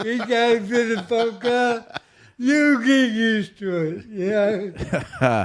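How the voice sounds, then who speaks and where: This man has an Australian accent and a high-pitched voice. He speaks at a very slow pace with ordinary pitch variation. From Australia (Mildura, Victoria). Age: 50s. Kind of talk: interview testimony.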